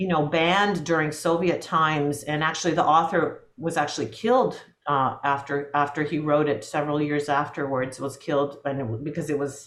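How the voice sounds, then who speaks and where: The speech moves at a fairly quick pace with hardly any pauses and ordinary pitch variation, and audible room echo surrounds it. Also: woman, very deep, low pitch for a woman. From US West Coast (Portland, Oregon), Latvian-speaking home. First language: Latvian. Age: 50s. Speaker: film composer. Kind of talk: interview conversation. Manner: halting, many repetitions and fillers.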